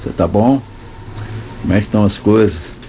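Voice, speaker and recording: With music in the background, a man speaks at a moderate pace with fairly even intonation. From Brazil. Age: 70s. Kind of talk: informal spoken monologue. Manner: conversational, hesitant.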